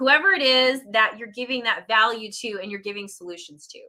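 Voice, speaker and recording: Her voice raised and projected, a woman speaks at a moderate pace with a high pitch and a bright, sharp tone. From Puerto Rican background. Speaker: online business coach. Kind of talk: live stream talk. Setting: live video stream. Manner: stumbles over words.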